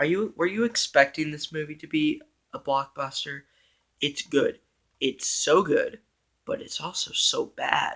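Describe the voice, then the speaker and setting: Quiet and at a fairly slow pace, a man speaks with long, frequent pauses. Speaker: movie reviewer on own channel. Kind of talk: casual vlog monologue. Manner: slow and quiet; hesitant, many fillers.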